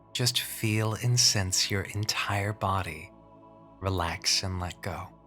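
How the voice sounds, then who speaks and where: Over music in the background, a man with a fairly low voice speaks at a very slow pace with fairly even intonation. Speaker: hypnotherapist. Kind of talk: guided hypnosis imagery. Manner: slow, soft-spoken.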